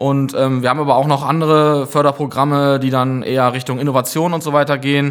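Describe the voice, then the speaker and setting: Very fast and with hardly any pauses, a man speaks in a monotone, flat voice at a fairly high pitch. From Münsterland, northwestern Germany (Gronau). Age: 30s. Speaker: project manager and brewery founder. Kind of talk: casual podcast chat.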